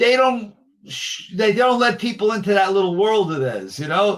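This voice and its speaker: The speaker talks at a fairly slow pace with a New York accent. Pitch varies in an ordinary way. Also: man. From New York area. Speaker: collector and show host. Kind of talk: casual interview chat.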